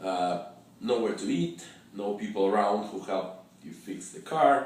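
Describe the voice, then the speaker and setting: A man speaks at a fairly low pitch with ordinary variation and big swings in loudness. The room echoes audibly, and background noise is noticeable. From Russia. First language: Russian. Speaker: travel fixer and storyteller. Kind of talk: personal travel story. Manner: halting, with many fillers and repetitions.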